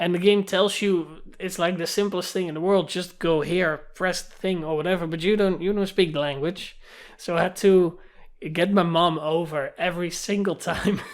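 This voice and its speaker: The pace of the speech stays moderate. It carries a Dutch accent. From Netherlands. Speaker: gaming YouTuber. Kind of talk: casual monologue vlog. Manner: animated.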